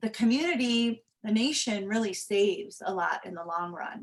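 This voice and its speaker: Pitched fairly high and somewhat breathy, a woman's voice keeps a moderate tempo. Her intonation rises and falls in an ordinary way. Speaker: homeless shelter representative. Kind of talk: presentation.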